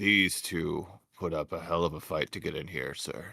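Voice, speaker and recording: In a put-on character voice, a man speaks at a moderate pace. The voice is raspy and very deep, low in pitch. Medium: actual play. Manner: casual, deferential to his boss.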